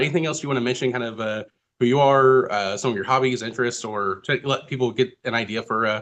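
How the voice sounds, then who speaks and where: This man's voice sits at a medium pitch. He talks at a very fast pace. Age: 30s. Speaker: podcast host. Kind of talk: casual interview.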